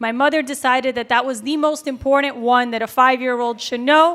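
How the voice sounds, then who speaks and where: In a very clean recording with a silent background, a woman with a high-pitched, bright, sharp tone speaks at a fairly quick pace with fairly even intonation. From Miami, Florida (Cuban-American family). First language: Spanish. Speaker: school board member. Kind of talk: speech.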